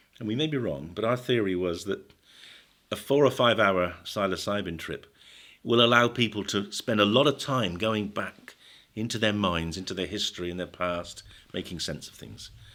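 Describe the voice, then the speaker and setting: In a British accent, a man speaks at a medium pitch and moderate pace. His tone is bright and sharp, and the recording is very clean with a silent background. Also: big swings in loudness. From Britain. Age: 70s. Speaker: psychiatrist and drug researcher. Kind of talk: podcast interview.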